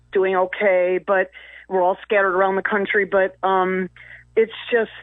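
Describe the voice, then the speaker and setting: The delivery comes at a moderate pace. The intonation is monotone and flat. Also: woman. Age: 60s. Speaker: caller. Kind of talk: call-in talk radio.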